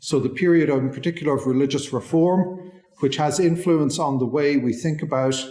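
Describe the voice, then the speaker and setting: Somewhat breathy male voice, fairly high in pitch, with a dark, mellow tone. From southwest Ireland. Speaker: legal history lecturer. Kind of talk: lecture.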